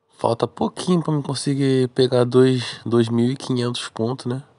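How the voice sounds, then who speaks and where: Dark and mellow in tone, the voice moves at a very slow pace with fairly even intonation in a dry, close sound with no echo. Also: man. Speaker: gaming YouTuber. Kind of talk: gameplay commentary. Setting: recorded voice-over narrated after the match. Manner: casual, slangy.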